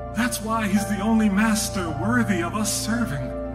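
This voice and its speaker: A man talks while background noise stays clearly noticeable. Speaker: spoken word poet. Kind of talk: live spoken word poetry performance. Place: stage.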